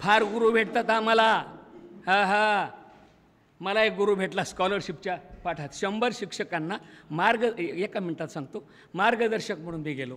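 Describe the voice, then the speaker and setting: Bright and sharp in tone, a man's high-pitched voice shows ordinary pitch variation. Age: 70s. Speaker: retired school teacher and college principal; retired school teacher. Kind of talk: speech at school reunion. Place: hall. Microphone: podium.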